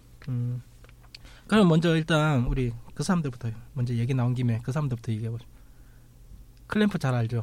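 Somewhat breathy, a man speaks at a medium pitch and a fairly quick pace, with long, frequent pauses. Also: ordinary pitch variation. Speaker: podcast host. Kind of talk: casual chat. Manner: animated.

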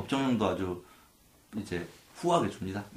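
Pitch swings very widely throughout. Room echo is audible. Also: man. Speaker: lawyer and podcast co-host. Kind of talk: explanatory legal discussion. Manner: cautious.

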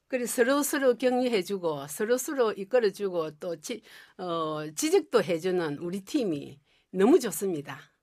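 Very wide pitch swings at a moderate pace, on a very clean recording with a silent background. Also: woman. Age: old. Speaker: retired homemaker, amateur actor. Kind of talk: radio interview.

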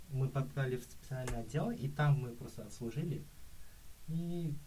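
A man with a fairly high pitch speaks at a moderate pace in a dark, mellow, somewhat breathy tone. Audible room echo surrounds his voice. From Kazakhstan. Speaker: exchange student. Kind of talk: casual chat.

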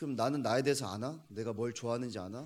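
A man's medium-pitched voice at a very fast pace. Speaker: young adventurer and challenge-seeker. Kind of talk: interview.

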